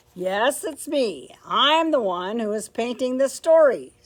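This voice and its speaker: This is a put-on character voice at a fairly slow pace. Its pitch swings very widely. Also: woman, high pitch for a woman. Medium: read story.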